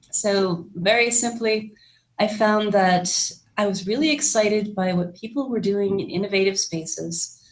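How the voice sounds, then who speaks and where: A woman speaks with an American accent at a medium pitch and a moderate pace. Her voice is somewhat breathy, with ordinary pitch variation. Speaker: startup ecosystem executive director. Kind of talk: interview.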